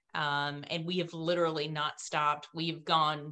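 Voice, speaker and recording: The voice has a bright, sharp tone. Its intonation is monotone and flat. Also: woman. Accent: North Carolina. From US South, rural North Carolina. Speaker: business founder and CEO, former dispatcher. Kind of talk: interview.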